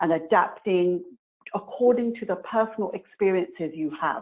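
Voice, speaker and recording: The speaker talks at a moderate pace in a strong British accent. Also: woman. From England, London. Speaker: committee member speaker. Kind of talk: webinar presentation.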